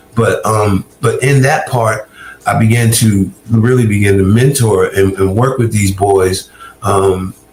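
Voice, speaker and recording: In an American accent, a man speaks at a fairly slow pace with a medium pitch, fairly even intonation and very even loudness. Noticeable background noise runs behind him. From US South, Augusta, Georgia. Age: 60s. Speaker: recovered addict turned ministry worker. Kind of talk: interview testimony. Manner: halting, frequent repetitions.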